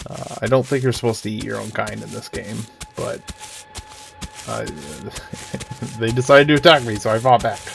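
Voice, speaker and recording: Music plays in the background as the voice makes big swings in loudness, with long, frequent pauses. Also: man, fairly quick pace. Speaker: gaming video creator. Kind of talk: gameplay commentary. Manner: hesitant, many fillers.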